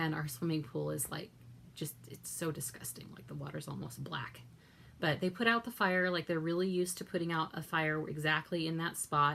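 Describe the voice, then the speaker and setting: At a moderate pace, a woman with a very deep, low pitch talks with big swings in loudness and ordinary pitch variation. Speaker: vlogger. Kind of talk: casual vlog monologue.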